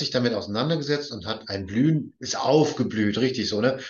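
This man's medium-pitched, somewhat breathy voice carries a lively intonation. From northern Germany, Baltic coast. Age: 50s. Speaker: podcast host. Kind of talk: interview.

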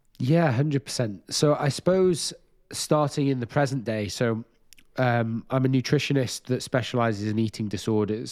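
A man with a Welsh accent speaks with ordinary pitch variation on a very clean recording with a silent background. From Wales. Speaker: nutritionist and disordered eating specialist. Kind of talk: interview. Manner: halting, many fillers.

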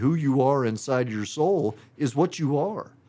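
With an American accent and a plain, everyday voice, a man speaks at a fairly high pitch and moderate pace with lively intonation, recorded very cleanly against a silent background. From Missouri, US Midwest. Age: 40s. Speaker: construction business owner. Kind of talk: casual chat.

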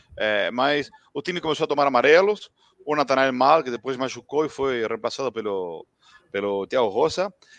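A man with an Argentine accent speaks at a moderate pace and medium pitch with lively intonation. The sound is dry and close, with no echo. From Argentina, Buenos Aires area. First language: Spanish (speaking Portuguese). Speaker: football commentator. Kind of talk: casual post-match chat. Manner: halting, mixing Spanish and Portuguese.

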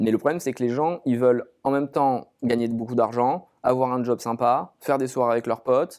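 A man with a normal speaking voice, medium pitch, a moderate pace and fairly even intonation. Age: 30s. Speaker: startup founder. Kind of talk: interview.

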